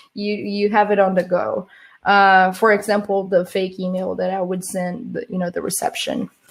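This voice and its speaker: A woman with a Portuguese accent, medium pitch, flat monotone intonation and a fairly slow pace. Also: big swings in loudness. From Brazil. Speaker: social engineer, conference speaker. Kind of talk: conference talk. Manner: halting, many fillers and restarts.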